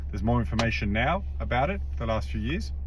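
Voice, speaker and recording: With vocal fry and an Australian accent, a man talks at a fairly quick pace with very wide pitch swings in a room with audible echo. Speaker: personal trainer and nutritionist vlogger. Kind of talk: casual vlog monologue. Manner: casual, hesitant with many fillers.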